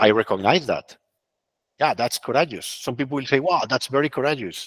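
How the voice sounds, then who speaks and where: A fairly quick, fairly high-pitched man with a Spanish accent and ordinary pitch variation, in a dry, close sound with no echo. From Colombia. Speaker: consultant and webinar speaker. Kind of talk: webinar talk with Q&A. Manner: halting, repeats words.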